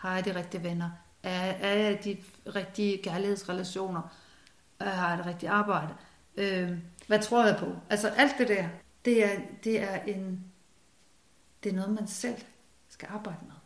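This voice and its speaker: A woman speaks at a fairly slow pace with long, frequent pauses, medium pitch, fairly even intonation and big swings in loudness, with audible room echo. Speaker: former doctor and spiritual author. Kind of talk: casual interview conversation. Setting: at home in living room. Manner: hesitant, many fillers and repetitions.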